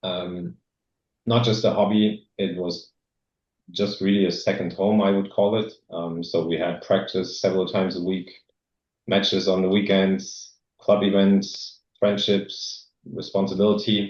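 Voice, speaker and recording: A man with a German accent, monotone and flat, at a fairly slow pace with long, frequent pauses. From East Germany. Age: 40s. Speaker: former exchange student speaking at a club. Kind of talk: presentation. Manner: hesitant, many fillers.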